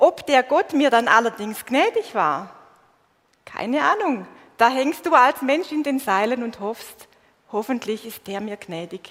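Speaking with a Swabian accent at a fairly slow pace, a woman uses a high pitch with very wide pitch swings. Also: big swings in loudness. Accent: Swabian dialect, still audible. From Swabia, southern Germany. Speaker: preacher. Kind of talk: sermon. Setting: church stage with congregation, livestreamed.

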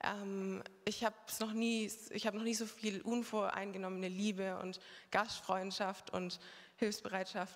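A woman speaks at a fairly slow pace with a fairly high pitch. Her intonation is monotone and flat. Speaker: former overseas volunteer. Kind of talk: testimony. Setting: church service with congregation.

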